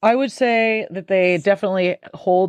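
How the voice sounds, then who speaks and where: A woman with a normal speaking voice. She talks at a moderate pace with ordinary pitch variation. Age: 40s. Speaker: author and music professor. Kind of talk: casual interview.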